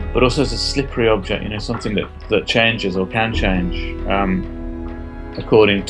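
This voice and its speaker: With music playing in the background, a man talks at a moderate pace. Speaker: artist and theatre maker. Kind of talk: interview answer.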